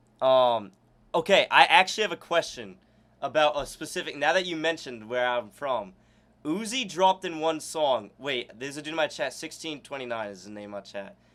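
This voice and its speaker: With a slight northeastern US accent, the speaker talks at a fairly quick pace with lively intonation and big swings in loudness. The recording is very clean, and the background is silent. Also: man, fairly high pitch for a man. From Maine, US (Augusta). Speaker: streamer interviewing a music producer. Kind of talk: casual interview chat. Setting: live stream with chat.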